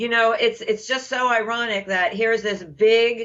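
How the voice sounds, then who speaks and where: At a moderate pace, a woman with a fairly high pitch and a normal speaking voice talks with ordinary pitch variation. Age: 50s. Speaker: program participant. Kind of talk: testimony.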